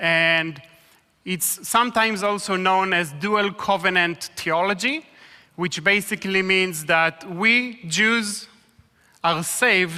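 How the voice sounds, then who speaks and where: A raised, projected voice, bright and sharp in tone, at a very slow pace with ordinary pitch variation. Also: man. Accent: Israeli. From Israel. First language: Hebrew. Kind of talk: sermon.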